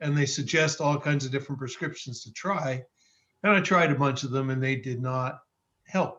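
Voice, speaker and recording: An ordinary speaking voice from a man with fairly high pitch, fairly even intonation and a moderate pace. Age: 60s. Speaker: participant sharing product testimony. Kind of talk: testimony.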